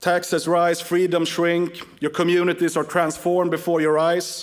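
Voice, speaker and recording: A man speaks at a moderate pace with a Swedish accent. His pitch is high. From Sweden. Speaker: political activist and organization chairman. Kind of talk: conference speech.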